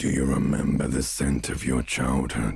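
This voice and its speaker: A man uses a put-on character voice, growling at a very deep, low pitch. He keeps a moderate pace with monotone, flat intonation. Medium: game stream. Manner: terse, probing.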